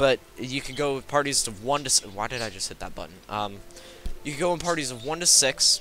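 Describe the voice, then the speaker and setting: A man's medium-pitched voice at a fairly quick pace, with big swings in loudness, ordinary pitch variation and music in the background. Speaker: gaming youtuber. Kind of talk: gameplay commentary. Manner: halting, many fillers and restarts.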